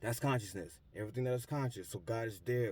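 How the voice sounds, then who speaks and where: A man's somewhat breathy voice. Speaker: spiritual vlogger. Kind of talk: motivational monologue. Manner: fast.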